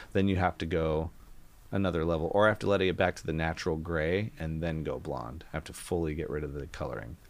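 A man talks at a very fast pace in a very deep, low pitch with vocal fry and ordinary pitch variation. The recording is very clean with a silent background. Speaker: podcast host. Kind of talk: casual chat.

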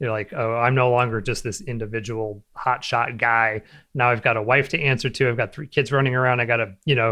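Fairly quick in pace, a man speaks in an ordinary speaking voice at a medium pitch. His intonation stays fairly even. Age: 40s. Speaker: web designer and entrepreneur. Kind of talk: interview.

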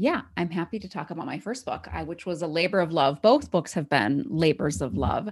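Recorded very cleanly with a silent background, a woman with an American accent and a fairly low pitch speaks at a fairly quick pace with hardly any pauses, very wide pitch swings, big swings in loudness and vocal fry. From Wisconsin. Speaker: author. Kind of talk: interview.

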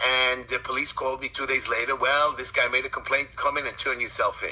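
Over noticeable background noise, a man speaks with a strong Brooklyn accent. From Brooklyn, New York City. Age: 50s. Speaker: political candidate and community activist. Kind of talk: interview, passionate campaign talk. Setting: phone call. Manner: blunt, animated.

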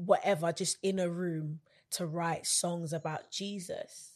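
A woman with a London accent speaks at a very slow pace in a fairly low pitch. Her intonation stays fairly even against a quiet background. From London, England. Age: 20s. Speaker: gospel singer and songwriter. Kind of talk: casual interview.

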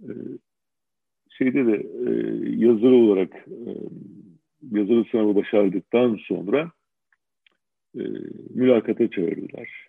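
A man's medium-pitched voice at a fairly slow pace, with long, frequent pauses, big swings in loudness and ordinary pitch variation. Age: 60s. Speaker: retired judge. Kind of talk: interview. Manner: halting, many fillers.

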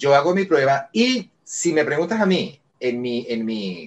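The pace is very slow as this man talks. His pitch swings very widely from low to high. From Venezuela, Caracas. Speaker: voice actor. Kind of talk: interview. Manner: calm, friendly.

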